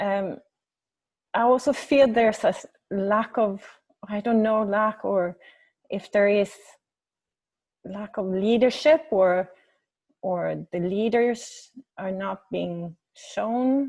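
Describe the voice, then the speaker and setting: A woman at medium pitch with a Swedish accent, very slow pace, ordinary pitch variation and long, frequent pauses. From Sweden. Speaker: webinar participant. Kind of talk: question in online group meeting. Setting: video call. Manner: halting.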